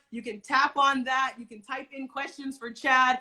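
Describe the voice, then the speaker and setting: With an American accent, a woman projects a raised voice at a moderate pace, her pitch high and her tone bright and sharp. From United States. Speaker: talk show host. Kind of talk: casual interview. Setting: Instagram live stream. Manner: animated.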